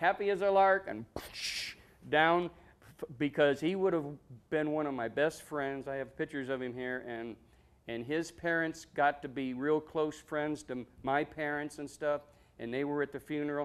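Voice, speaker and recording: Speaking at a moderate pace with an Ohio accent, a man uses ordinary pitch variation. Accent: Midwestern American (Ohio). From Ohio, Medina. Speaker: war veteran. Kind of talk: interview. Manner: halting.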